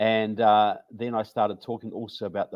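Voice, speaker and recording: A man with a New Zealand accent speaks in a fairly low voice. The background is quiet. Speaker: author and researcher. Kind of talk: interview. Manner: halting.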